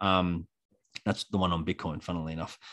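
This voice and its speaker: A man speaks with an Australian accent. The background is quiet, and the sound is dry and close with no echo. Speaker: electrician and bitcoin educator. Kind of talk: casual interview chat.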